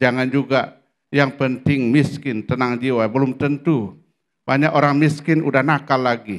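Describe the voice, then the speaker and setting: Male speech in a middle register, with pitch moving in a typical way. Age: 60s. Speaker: pastor. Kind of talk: sermon. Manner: animated.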